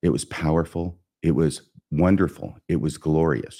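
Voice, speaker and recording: A man's very deep, low voice, dark and mellow in tone, with vocal fry. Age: 60s. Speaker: podcast host. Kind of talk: solo podcast lesson.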